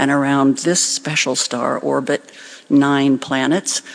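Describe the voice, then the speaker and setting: Someone with an American accent speaks at a very slow pace. The tone is calm. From US Pacific Northwest. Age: 60s. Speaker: community organizer. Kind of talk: eulogy speech with guided visualization. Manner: slow, calm.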